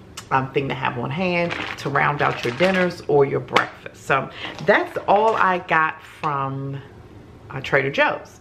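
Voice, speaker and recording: Over noticeable background noise, a woman talks at a fairly slow pace with a very deep, low pitch and ordinary pitch variation. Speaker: home vlogger. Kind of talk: casual haul vlog chat. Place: kitchen. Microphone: camera far.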